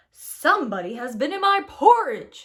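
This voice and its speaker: In a put-on character voice, the speaker growls at an extremely high pitch with very wide pitch swings and a moderate pace. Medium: read story.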